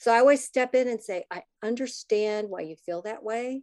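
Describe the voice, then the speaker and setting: With an American accent, this woman has an ordinary speaking voice, fairly high in pitch, at a moderate pace, recorded dry and close with no echo against a quiet background. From US Midwest, Minnesota. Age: 60s. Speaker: podcast host and parent advocate. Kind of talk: interview conversation.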